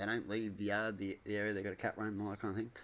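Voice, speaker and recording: A man speaks with an Australian accent. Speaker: vlogger. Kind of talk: casual monologue. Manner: loud.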